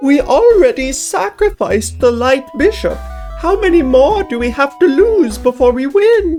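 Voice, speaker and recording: A high-pitched, put-on character voice over faint music in the background. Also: moderate pace. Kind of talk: comic put-on silly voice. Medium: actual play. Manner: earnest, formal, fretful.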